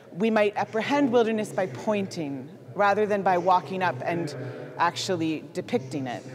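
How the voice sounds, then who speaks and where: With faint music in the background, a woman speaks at a fairly slow pace using very wide pitch swings. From Canada. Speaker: artist. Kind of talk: presentation with slides. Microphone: handheld.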